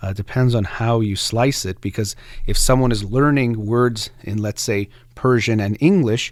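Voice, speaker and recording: Heard on a very clean recording with a silent background, a normal speaking voice with an American accent moves at a moderate pace. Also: man, medium pitch for a man, ordinary pitch variation. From United States. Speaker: radio host. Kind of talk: radio book discussion monologue.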